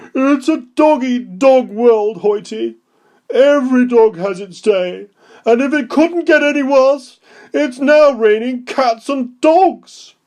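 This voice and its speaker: This put-on character voice sits at a high pitch and goes at a fairly slow pace. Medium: read story. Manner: bossy, haughty.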